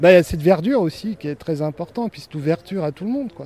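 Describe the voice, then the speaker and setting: A man's fairly high voice with a dark, mellow tone and ordinary pitch variation, dry and close with no echo. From Switzerland. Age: 30s. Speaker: formerly homeless park guide. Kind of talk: casual guided walk. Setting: outdoors in a park.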